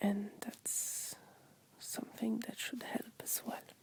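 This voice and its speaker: Very slow whispering from a woman amid noticeable background noise. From France. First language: French. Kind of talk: ASMR talk to camera. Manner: relaxing, soft-spoken.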